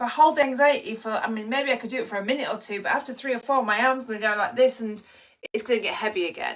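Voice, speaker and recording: A woman with an English accent talks very fast in an animated tone, her voice high-pitched with ordinary pitch variation. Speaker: anxiety coach. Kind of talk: live online training. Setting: live stream with chat.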